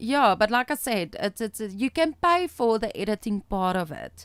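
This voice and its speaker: With a South African accent, a woman speaks at a fairly high pitch with very wide pitch swings, in a dry, close sound with no echo, on a very clean recording with a silent background. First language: Afrikaans. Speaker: author and publisher. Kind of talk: casual chat.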